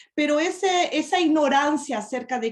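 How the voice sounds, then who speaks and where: The speaker is a woman. She talks with a Portuguese accent. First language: Portuguese (speaking Spanish). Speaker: preacher. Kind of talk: sermon. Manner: halting.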